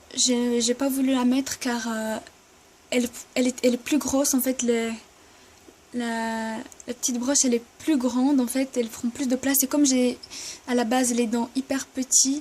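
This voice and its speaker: A woman with a high pitch speaks at a moderate pace in a monotone, flat intonation, with long, frequent pauses and noticeable background noise. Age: 20s. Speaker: vlogger. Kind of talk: casual vlog Q&A. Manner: halting, hesitant.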